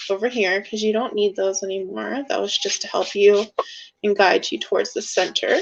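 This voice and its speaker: This is a woman with a plain, everyday voice. She speaks at a moderate pace with a fairly high pitch. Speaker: art teacher. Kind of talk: tutorial.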